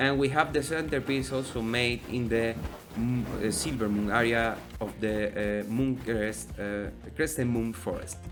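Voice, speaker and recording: A man with a Spanish accent talks at a fairly slow pace in a medium pitch. Music plays in the background, and there is audible room echo. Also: ordinary pitch variation. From Spain. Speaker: gaming YouTuber. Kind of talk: casual gameplay commentary. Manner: halting, many fillers.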